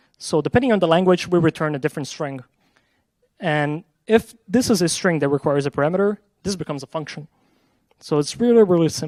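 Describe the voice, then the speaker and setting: Rushing at a very fast pace, a man with a Portuguese accent talks at a fairly high pitch with lively intonation. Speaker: software engineer. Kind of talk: conference talk with live coding demo.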